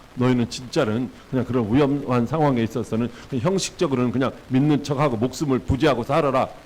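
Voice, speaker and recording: At a fairly quick pace and very even loudness, a man with an unremarkable speaking voice speaks at a medium pitch with ordinary pitch variation. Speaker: pastor. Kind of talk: sermon.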